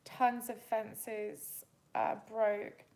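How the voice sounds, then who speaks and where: A woman speaks in a relaxed tone at a fairly high pitch with flat, monotone intonation. The room echo is audible. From Canada and England. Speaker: livestreamer. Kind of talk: casual chat. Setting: livestream during power outage, candlelit. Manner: relaxed, chatty.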